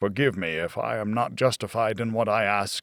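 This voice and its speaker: A man performs a put-on character voice, fairly low in pitch. His pace is moderate. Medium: read story.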